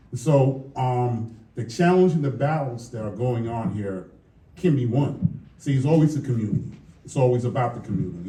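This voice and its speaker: Speaking fairly quickly with lively intonation, a man with an American accent is heard in audible room echo. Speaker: police lieutenant. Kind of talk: public forum speech. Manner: conversational, with filler words.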